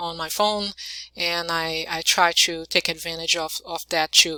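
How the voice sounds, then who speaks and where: A woman with a non-native accent speaks at a fairly low pitch, her tone bright and sharp. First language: not English. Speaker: YouTuber. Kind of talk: casual vlog. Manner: halting, many fillers.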